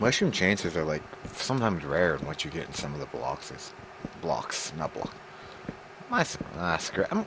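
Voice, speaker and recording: Noticeable background noise sits under lively intonation broken by long, frequent pauses. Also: man, very deep, low pitch for a man, moderate pace. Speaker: video game streamer. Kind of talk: casual chat while gaming. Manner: stumbling over words.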